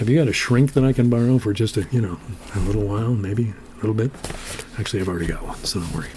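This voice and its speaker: A man's medium-pitched voice with ordinary pitch variation at a very fast pace, amid noticeable background noise. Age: old. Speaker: poetry show host. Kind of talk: casual chat.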